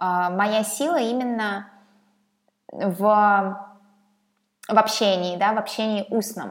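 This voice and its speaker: A woman's very slow speech, with fairly even intonation and long, frequent pauses. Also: medium pitch for a woman. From Russia, Saint Petersburg. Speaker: podcaster. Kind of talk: channel introduction monologue.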